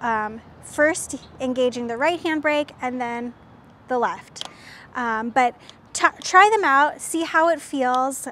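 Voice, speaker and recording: The pitch varies in an ordinary way. There is light background noise. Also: woman, dry sound with no echo. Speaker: presenter. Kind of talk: tutorial. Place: street. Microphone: lapel.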